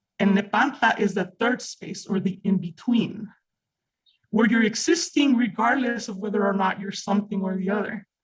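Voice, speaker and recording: The speaker has a Mexican accent. The pace is moderate. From Mexico. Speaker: reading group participant. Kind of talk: group discussion. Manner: animated.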